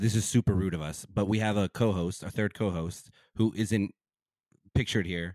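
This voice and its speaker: Recorded very cleanly with a silent background and a dry, close sound with no echo, a man with an ordinary speaking voice talks at a moderate pace in a fairly low pitch with fairly even intonation and an American accent. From US South, Bible Belt. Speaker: podcast co-host and musician. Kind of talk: casual chat.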